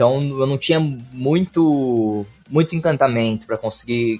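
A man speaks fairly slowly in an ordinary speaking voice, his pitch varying in an ordinary way. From Brazil, Ribeirão Preto (São Paulo state). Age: 20s. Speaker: card game player. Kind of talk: casual chat.

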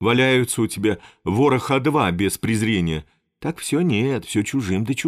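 Someone is doing plain reading aloud, and the background stays quiet.

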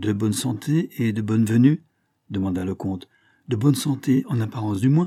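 The clip has a natural reading voice and a quiet background.

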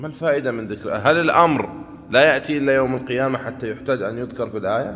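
A man's fairly bright tone with ordinary pitch variation

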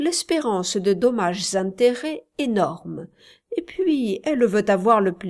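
The text is read aloud plainly, with lively intonation. Behind it, the background is quiet.

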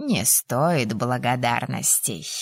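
In a put-on character voice, a woman speaks slowly at an extremely low pitch, with vocal fry, a slightly husky edge and lively intonation, in a dry, close recording with no echo. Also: very clean recording, silent background.

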